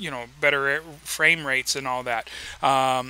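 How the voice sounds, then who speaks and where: A man at a fairly slow pace. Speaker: gaming YouTuber and radio host. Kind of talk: casual gaming vlog talk. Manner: halting, stumbling over words.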